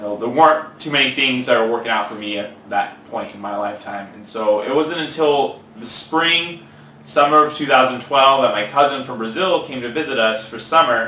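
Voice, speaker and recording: With a Californian accent, a man speaks at medium pitch and a moderate pace with ordinary pitch variation, amid noticeable background noise and audible room echo. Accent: Californian American English. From California, Central Valley. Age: 20s. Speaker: fitness trainer. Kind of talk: interview.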